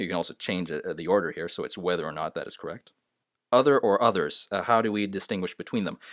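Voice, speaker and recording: The speech moves at a very fast pace. The recording is very clean with a silent background, and the sound is dry and close with no echo. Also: man. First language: not English. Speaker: English grammar teacher. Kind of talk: tutorial. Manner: hesitant, many filler sounds.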